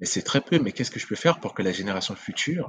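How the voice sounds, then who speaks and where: A man with a Central African accent speaks with lively intonation. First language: Sango (speaking French). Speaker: video game entrepreneur. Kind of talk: interview conversation.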